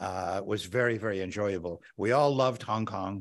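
With no echo, the man's voice sounds dry. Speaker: event host introducing guest speaker. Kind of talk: introductory speech. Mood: warm, nostalgic, light laughs. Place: hall. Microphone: podium.

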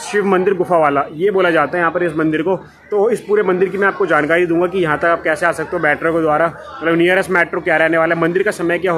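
With light background noise, a man speaks high-pitched at a fairly quick pace, his intonation fairly even and hardly any pauses. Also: very even loudness. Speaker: travel vlogger. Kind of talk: casual vlog chat. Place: street. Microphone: phone near.

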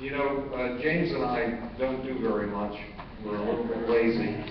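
A man talks at a moderate pace. Audible room echo and light background noise are present. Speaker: conference host. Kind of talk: closing remarks speech. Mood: warm, grateful, light humor. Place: hall. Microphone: podium.

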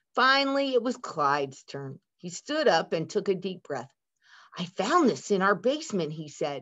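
An unforced voice reads the text with little noise in the background.

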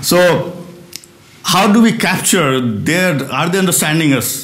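The voice carries an Indian accent, with audible room echo over a quiet background. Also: man. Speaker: physicist and research director. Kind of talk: lecture. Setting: stage with audience. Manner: fast. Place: hall. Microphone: lapel.

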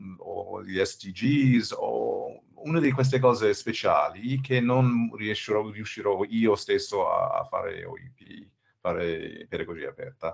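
Against a quiet background, a man with an English accent talks at a fairly slow pace. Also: big swings in loudness. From United States. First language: English (speaking Italian). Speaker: open education expert, former math professor; webinar presenter. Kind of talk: webinar presentation. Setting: video call webinar. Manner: halting, many fillers and repetitions. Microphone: video call.

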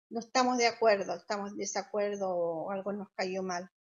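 A woman with an ordinary speaking voice at a moderate pace, ordinary pitch variation and a quiet background. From Chile. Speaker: social worker and health interpreter. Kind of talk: interview answer. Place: home room. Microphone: video call.

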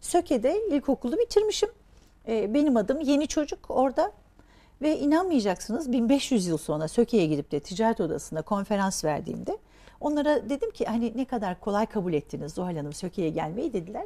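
Fairly high-pitched and dark and mellow in tone, a woman with vocal fry talks at a fairly quick pace with very wide pitch swings. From Turkey, raised in Diyarbakır and the Aegean; Turkey. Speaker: entrepreneur; guest. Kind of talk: interview. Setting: studio. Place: studio.

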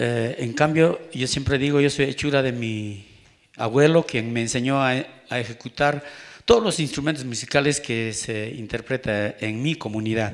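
A man speaks in a plain, everyday voice at medium pitch, with ordinary pitch variation. His pace is fairly slow, and the background is quiet. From Peru. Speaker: speaker. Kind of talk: panel talk. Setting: forum with audience. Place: hall. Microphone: handheld.

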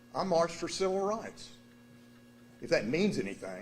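A high-pitched man's voice with a Texan accent. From Texas, Dallas. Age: 60s. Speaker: resident speaking at council meeting. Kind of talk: public comment.

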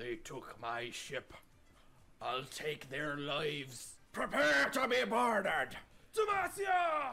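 Shouting at a very slow pace, a man has a fairly high pitch. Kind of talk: amateur video-game voice impressions. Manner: growling, menacing.

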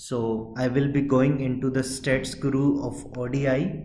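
Noticeable background noise and audible room echo fill the clip. A man talks with a fairly high pitch. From India. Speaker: software trainer. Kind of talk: tutorial. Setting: outdoors at a stadium.

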